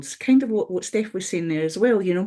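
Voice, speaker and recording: With a Scottish accent, a woman speaks in a dark, mellow tone marked by very wide pitch swings. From Scotland. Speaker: webinar panelist. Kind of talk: webinar discussion. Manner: halting.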